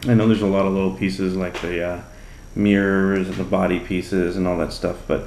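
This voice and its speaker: Talking at a fairly quick pace, a man with a very deep, low pitch is heard with audible room echo. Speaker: RC hobby YouTuber. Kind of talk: hobby build tutorial. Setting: home workbench late at night. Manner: soft-spoken; casual, playful.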